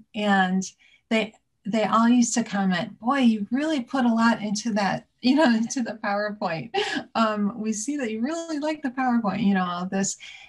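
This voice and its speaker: A woman at a moderate pace with ordinary pitch variation, over a quiet background. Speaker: interview guest. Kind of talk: interview answer. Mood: warm, amused. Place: home room. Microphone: video call.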